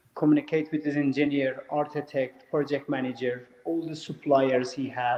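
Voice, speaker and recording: Over noticeable background noise, a man with a fairly high pitch speaks at a moderate pace in a monotone, flat intonation. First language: not English. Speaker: former MMA fighter turned real estate developer. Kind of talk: interview. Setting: live stream.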